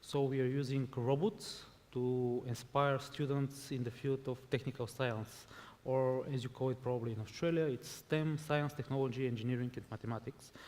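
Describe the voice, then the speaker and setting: The speaker has a Bulgarian accent and talks at a moderate pace with fairly even intonation. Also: man, medium pitch for a man. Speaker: robotics education entrepreneur. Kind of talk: panel discussion.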